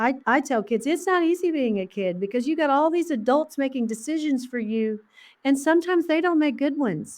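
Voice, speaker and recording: In an Oklahoma accent, a woman speaks with a high pitch against a quiet background. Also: lively intonation, fairly quick pace. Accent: Oklahoma Southern US. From Oklahoma, US. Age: 60s. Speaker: elementary school principal. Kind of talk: interview conversation. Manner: animated.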